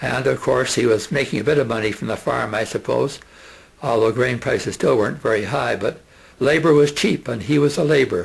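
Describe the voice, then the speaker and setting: Medium-pitched male voice with vocal fry, ordinary pitch variation and a fairly quick pace. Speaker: retired teacher. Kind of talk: oral history reminiscence. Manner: halting, many fillers.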